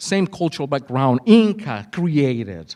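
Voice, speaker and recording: Very slowly and with very wide pitch swings, a man speaks with a Spanish accent in a very clean recording with a silent background. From Mexico. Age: 40s. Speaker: conference speaker, school cultural specialist. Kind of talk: conference presentation. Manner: animated.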